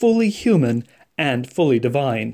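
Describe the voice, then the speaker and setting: This man has an American accent and a fairly high pitch with lively intonation. He uses a normal speaking voice. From French Canadian American family, US. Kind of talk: scripted spiritual reflection. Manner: formal.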